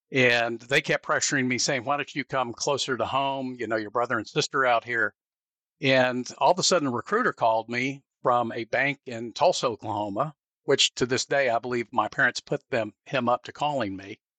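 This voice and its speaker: Set against a quiet background, a man with a Southern US accent speaks in a bright, sharp, medium-pitched voice with ordinary pitch variation and a dry, close sound with no echo. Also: moderate pace. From US South. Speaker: business owner. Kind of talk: interview.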